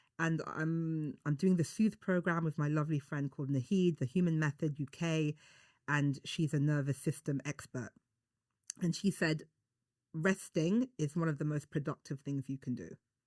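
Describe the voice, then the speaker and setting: A woman with a London accent and a very deep, low pitch, at a moderate pace with ordinary pitch variation, in a dry, close sound with no echo and a very clean recording with a silent background. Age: 40s. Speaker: beauty journalist and broadcaster. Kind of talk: casual chat. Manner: animated.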